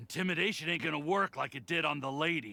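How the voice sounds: Putting on a character voice, a man talks at a fast pace and fairly high pitch, with lively intonation, vocal fry and a bright, sharp tone.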